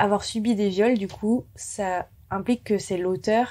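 A woman speaks at a fairly slow pace in a dark, mellow tone. Her intonation is fairly even. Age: 20s. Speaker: screenwriter and director. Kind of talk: interview testimony.

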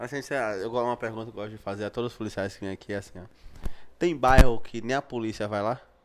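A man talks very fast with fairly even intonation. His pitch is medium, and there is noticeable background noise. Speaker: podcast host. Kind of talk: casual podcast chat. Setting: studio. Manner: informal, profane. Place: studio. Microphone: studio mic.

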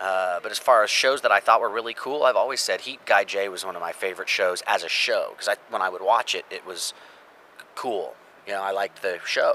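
Light noise hums in the background as a man speaks at a fairly quick pace. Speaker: voice actor. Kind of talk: interview. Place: street.

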